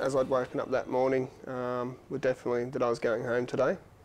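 Light noise hums behind a man who talks fairly quickly. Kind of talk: interview answer. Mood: calm reflective retelling. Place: studio. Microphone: lapel.

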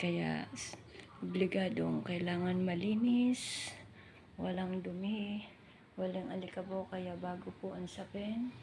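The speech moves at a very slow pace. Noticeable background noise and audible room echo fill the recording. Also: woman. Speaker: vlogger and domestic worker. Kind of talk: casual vlog walkthrough.

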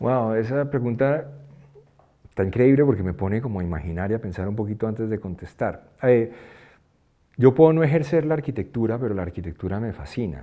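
Speaking at a fairly quick pace, a man with a dark, mellow tone uses lively intonation against a quiet background. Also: medium pitch for a man. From Colombia, raised in New York and Switzerland. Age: 50s. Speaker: music producer and songwriter; interviewee. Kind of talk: interview. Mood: reflective, animated. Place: studio.

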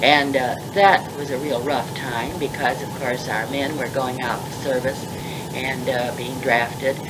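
Amid loud background noise, a woman with an American accent speaks fairly slowly in a very deep, low voice, her intonation fairly even. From Pittsburgh, US. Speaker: former college dean, retired professor. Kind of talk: elder life story, reminiscing in an interview. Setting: interview recorded on tape. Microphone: old recording.

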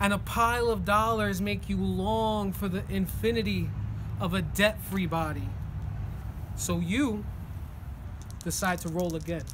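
A man with an American accent speaks at a fairly slow pace, leaving long, frequent pauses. Noticeable background noise runs underneath. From New Jersey. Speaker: poet. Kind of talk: spoken word poetry performance. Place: street. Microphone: phone near.

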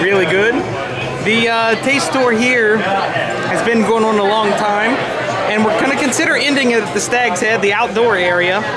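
Music plays in the background as the speaker talks at a moderate pace. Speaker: vlogger on a pub crawl. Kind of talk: casual vlog chat. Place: bar. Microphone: phone near.

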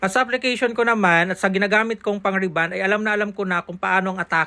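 The tone is playful. The pace is very fast. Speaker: hairstylist. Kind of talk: hair tutorial vlog narration. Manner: casual, playful.

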